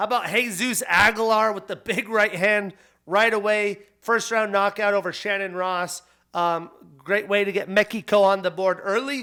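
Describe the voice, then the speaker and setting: On a very clean recording with a silent background, a man uses a raised, projected voice with a bright, sharp tone, pitched high and fairly even in intonation. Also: moderate pace. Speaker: podcast host. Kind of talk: solo podcast commentary.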